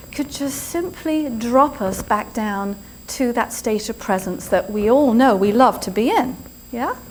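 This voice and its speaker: In an English accent, a woman speaks at a very slow pace. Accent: English accent, noticeable. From England. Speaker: yoga and spirituality teacher, speaker. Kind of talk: inspirational talk. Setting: stage with live audience. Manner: animated.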